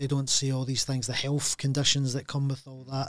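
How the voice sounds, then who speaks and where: A man talks in a Glaswegian accent at a fairly high pitch. His pace is fairly quick. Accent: Glaswegian Scottish. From Scotland, Glasgow. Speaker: packaging entrepreneur. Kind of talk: casual interview. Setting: studio.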